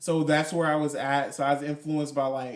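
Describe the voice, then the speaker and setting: A man with an American accent speaks at a moderate pace in a fairly high pitch. He has an ordinary speaking voice. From US South, New Orleans. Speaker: spoken word poet and artist. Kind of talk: casual podcast interview.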